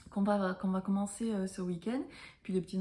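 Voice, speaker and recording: A woman speaks at a medium pitch. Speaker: knitting podcaster. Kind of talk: casual chat. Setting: at home. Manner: hesitant, many fillers.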